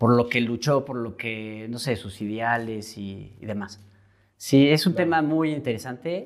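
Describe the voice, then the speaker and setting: A man in a central Mexican accent at a fairly slow pace, medium in pitch, with ordinary pitch variation and big swings in loudness. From Mexico, Querétaro. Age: 20s. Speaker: painter. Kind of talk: casual interview.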